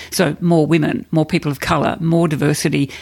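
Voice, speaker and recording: With an Australian accent, a woman talks at a fairly low pitch with ordinary pitch variation, recorded very cleanly against a silent background. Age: 50s. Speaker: corporate and non-profit leader. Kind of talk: interview.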